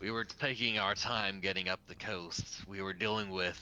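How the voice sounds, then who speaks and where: A put-on character voice moves at a moderate pace. Clear background noise sits behind it. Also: man, fairly low pitch for a man. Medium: actual play. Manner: terse, serious.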